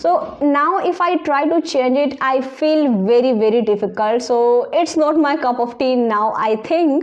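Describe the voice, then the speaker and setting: Over noticeable background noise, a woman with a strong Indian accent speaks at a fairly slow pace and high pitch with ordinary variation, very even loudness and hardly any pauses. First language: Indian language (not English). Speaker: English learning YouTuber. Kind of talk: casual advice talk to camera.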